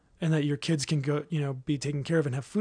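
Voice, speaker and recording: A somewhat breathy man with a Californian accent, fairly even intonation and a quiet background. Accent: Californian American English. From Southern California. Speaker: marriage ministry leader. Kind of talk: casual interview chat.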